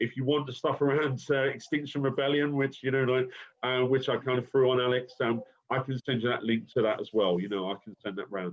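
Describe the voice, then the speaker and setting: At a fairly quick pace, a man with a London accent speaks in a medium pitch. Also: fairly even intonation. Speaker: university lecturer. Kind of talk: recorded lecture conversation. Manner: hesitant, many fillers.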